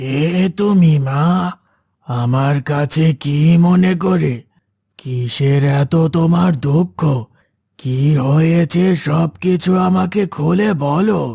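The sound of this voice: In a cartoonish character voice, a man talks very slowly at a fairly high pitch with ordinary pitch variation.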